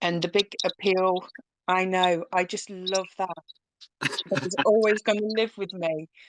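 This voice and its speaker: A woman with a British accent at a fairly slow pace, in a dry, close sound with no echo and a quiet background. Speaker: crypto community team member. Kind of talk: casual self-introduction on live audio chat.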